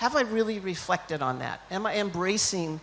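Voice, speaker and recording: A woman's medium-pitched voice with an American accent and lively intonation, at a moderate pace over noticeable background noise. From United States. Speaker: leadership consultant, keynote speaker. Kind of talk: keynote speech. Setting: conference stage with audience.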